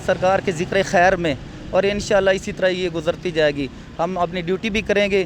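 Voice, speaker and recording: His pitch is high. The man's intonation remains fairly even. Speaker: traffic warden. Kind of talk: interview answer.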